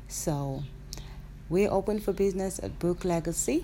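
A woman speaks at a medium pitch. Her pace is moderate. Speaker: podcaster and hair business owner. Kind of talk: casual monologue. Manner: giggly; changing tone.

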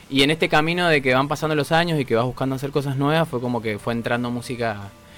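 Talking at a very fast pace, a man has a fairly high pitch and ordinary pitch variation. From Argentina, Mendoza. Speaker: rock musician. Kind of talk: interview. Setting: studio.

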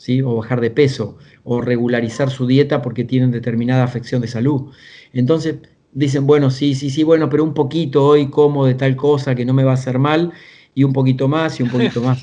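At a fairly quick pace, a man speaks at medium pitch. His tone is dark and mellow, with flat, monotone intonation. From Argentina, small town south of Buenos Aires. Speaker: executive coach and author. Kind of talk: interview conversation.

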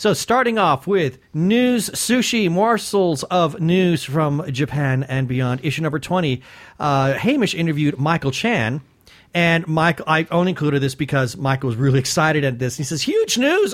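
Pitch swings very widely as a man speaks. His pace is moderate. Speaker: podcast co-host. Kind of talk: casual interview chat. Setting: studio.

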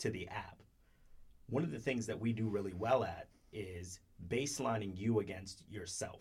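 A man with a fairly low pitch and a somewhat breathy voice leaves long, frequent pauses. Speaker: podcast co-host. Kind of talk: casual chat.

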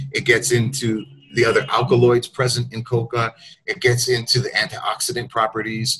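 Fairly even intonation at a moderate pace, with music in the background. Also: man, medium pitch for a man. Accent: American. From United States. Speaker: journalist and writer. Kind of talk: interview.

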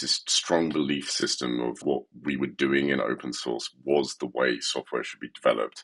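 A man with a British accent talks at a moderate pace in a dry, close sound with no echo. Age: 40s. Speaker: tech company CEO and software developer. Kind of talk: interview.

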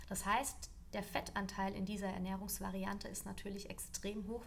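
A woman speaks with audible echo from the room. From Lower Franconia, Germany. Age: 20s. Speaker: nutritionist. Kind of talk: expert explanation in interview.

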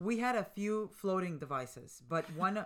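Lively intonation from a woman with a Spanish accent. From Colombia. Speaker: mother of the hosts. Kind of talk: casual chat.

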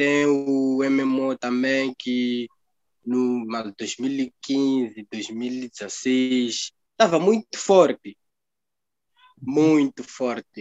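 Taking long, frequent pauses, a man speaks at a very slow pace with a medium pitch and ordinary pitch variation. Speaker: blogger. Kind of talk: casual chat. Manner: halting.

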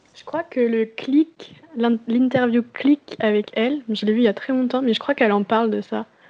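A woman speaks at a moderate pace with a fairly high pitch and big swings in loudness, over noticeable background noise. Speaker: amateur stage actor. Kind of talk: casual chat. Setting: Skype call. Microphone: poor Skype recording audio.

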